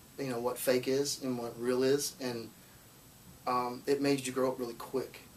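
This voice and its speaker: A man with a Southern US accent, talking at a moderate pace in a monotone, flat intonation. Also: medium pitch for a man. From Alabama, Muscle Shoals. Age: 20s. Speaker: singer-songwriter. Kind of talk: interview. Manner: halting, many false starts.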